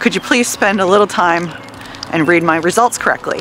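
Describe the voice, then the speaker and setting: A woman speaks at a fairly quick pace, her pitch fairly low with ordinary variation. The sound is dry with no echo, over light background noise. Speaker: vlogger. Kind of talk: casual vlog chat. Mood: frustrated, venting. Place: street. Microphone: earbuds.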